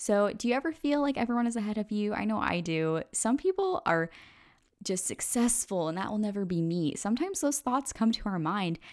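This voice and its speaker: A woman talks at a fairly quick pace in an animated tone. Her fairly high voice moves through very wide pitch swings. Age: 20s. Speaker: podcast host. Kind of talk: solo podcast monologue.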